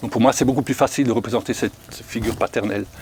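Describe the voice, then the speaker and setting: The sound is dry and close with no echo, but background noise is noticeable. Pitch varies in an ordinary way. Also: man. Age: 60s. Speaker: foster parent. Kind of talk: casual chat.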